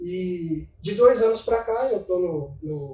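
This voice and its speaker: The man speaks at a high pitch with ordinary pitch variation. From Minas Gerais, Brazil (São Gotardo). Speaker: financial investment advisor. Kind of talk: casual interview chat.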